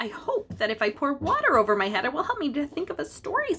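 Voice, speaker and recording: Putting on a character voice, a woman speaks very fast at a high pitch. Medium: read story.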